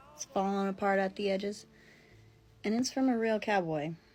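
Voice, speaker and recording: A woman speaks at a moderate pace and medium pitch in a somewhat breathy voice with a dark, mellow tone. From rural area. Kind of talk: casual storytelling to camera.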